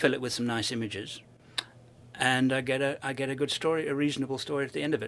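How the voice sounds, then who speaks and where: With a British accent, a man speaks in a bright, sharp tone at a fairly quick pace with ordinary pitch variation. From South Africa (born in UK, moved at 12). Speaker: overland traveler and filmmaker. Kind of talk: interview conversation. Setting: expo event. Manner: enthusiastic.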